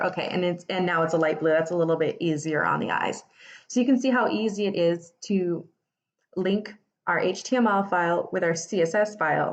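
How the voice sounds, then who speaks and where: In a plain, everyday voice, a woman talks at a moderate pace with a fairly low pitch and ordinary pitch variation. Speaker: web development tutor. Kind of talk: live coding tutorial. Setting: Instagram Live stream. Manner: casual, many fillers. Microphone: phone near.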